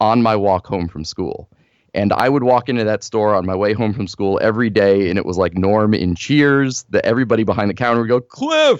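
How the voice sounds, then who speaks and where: Against a quiet background, an ordinary speaking voice with an American accent moves at a moderate pace with ordinary pitch variation. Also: man. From US Northeast, northern New Jersey. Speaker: baseball writer. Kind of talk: podcast interview.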